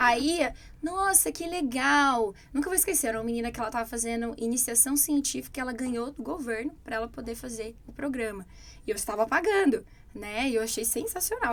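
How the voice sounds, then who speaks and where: Fairly quick speech from a woman with a high pitch and lively intonation. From Brazil. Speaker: English teacher. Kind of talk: casual chat.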